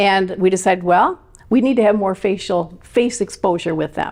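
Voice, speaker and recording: A woman with an Upper Midwest US accent talks at a fairly quick pace, her medium pitch showing ordinary variation. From Michigan. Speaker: election integrity activist. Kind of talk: interview. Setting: podcast interview.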